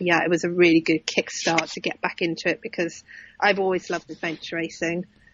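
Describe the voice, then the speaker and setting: The speaker has an English accent and a monotone, flat intonation. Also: woman. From UK. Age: 40s. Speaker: adventure racer. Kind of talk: casual chat.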